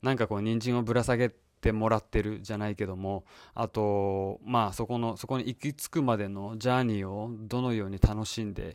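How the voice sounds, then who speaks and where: On a very clean recording with a silent background and a dry, close sound with no echo, a man speaks at a moderate pace with a fairly low pitch and fairly even intonation. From Japan. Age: 40s. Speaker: podcast host. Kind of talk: solo monologue. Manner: halting with many fillers.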